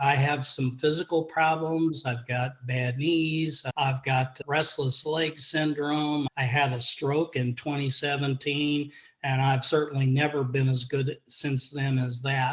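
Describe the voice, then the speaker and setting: With hardly any pauses, a man speaks at a fairly slow pace in a fairly high, somewhat breathy voice with monotone, flat intonation. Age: 70s. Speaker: golf student giving a testimonial. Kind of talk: testimony.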